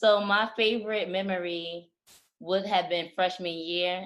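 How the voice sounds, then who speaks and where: Medium pitch and ordinary pitch variation in a woman's voice, a normal speaking voice. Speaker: podcast co-host. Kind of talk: casual chat.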